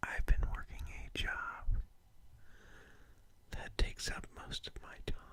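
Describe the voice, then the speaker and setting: Whispering at a fairly slow pace, with long, frequent pauses. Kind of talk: ASMR whispering. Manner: whispered, soft-spoken.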